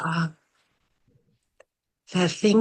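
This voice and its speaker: In a dry, close sound with no echo, a soft-spoken woman speaks at a very slow pace in a fairly low pitch with monotone, flat intonation. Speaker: workshop participant. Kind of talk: sharing in a group session.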